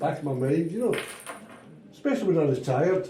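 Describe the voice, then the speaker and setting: A man speaks with a Glaswegian accent and ordinary pitch variation. The recording carries noticeable background noise and audible room echo. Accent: Glaswegian Scottish. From Scotland, Glasgow. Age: 70s. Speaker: retired walking football player. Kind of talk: casual chat. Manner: halting.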